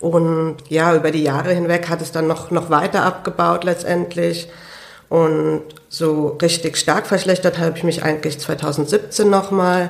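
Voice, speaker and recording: A woman talks at a fairly slow pace with a fairly low pitch. Her intonation stays monotone and flat. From Germany, Hunsrück (Idar-Oberstein). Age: 20s. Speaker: lung transplant patient and student. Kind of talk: interview. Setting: studio.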